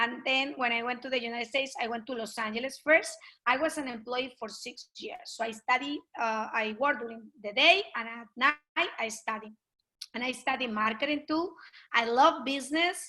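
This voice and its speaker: With a Colombian accent, a woman projects a raised voice at a high pitch and a moderate pace. Her tone is bright and sharp, with ordinary pitch variation and big swings in loudness. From Colombia (Pasto, south). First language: Spanish. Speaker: network marketing leader. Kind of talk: interview. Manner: animated.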